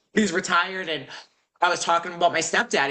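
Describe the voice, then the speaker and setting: A woman has an ordinary speaking voice, fairly low in pitch, with an American accent. She talks at a fairly quick pace. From Boston, US. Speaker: real estate wholesaler student. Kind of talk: casual chat.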